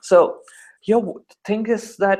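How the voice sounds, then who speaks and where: A man is speaking. He has an Indian accent. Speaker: call-in debater. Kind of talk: casual debate. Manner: animated.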